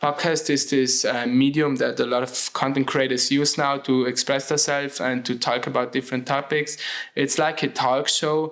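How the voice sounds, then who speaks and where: A man with a German accent speaks at a moderate pace in a fairly high pitch, his intonation monotone and flat. His loudness stays very even, with hardly any pauses. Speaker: podcast host. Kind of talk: solo podcast monologue. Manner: hesitant, with many fillers.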